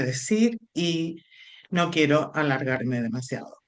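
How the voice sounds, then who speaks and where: A woman talks with a Canarian accent and lively intonation. The background is quiet. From Canary Islands, Spain. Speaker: film scholar, lecturer. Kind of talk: lecture.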